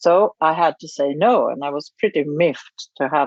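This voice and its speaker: Lively intonation marks a woman's fairly low voice in a Swedish accent. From Sweden. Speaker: charity founder and writer. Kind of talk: interview. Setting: remote recording.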